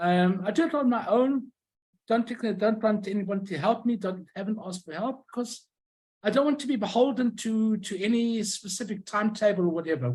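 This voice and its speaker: The speaker has a Southern African accent and moves at a fairly quick pace. Pitch variation is ordinary. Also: man, high pitch for a man. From Rhodesia. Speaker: stamp collector and YouTuber. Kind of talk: lecture.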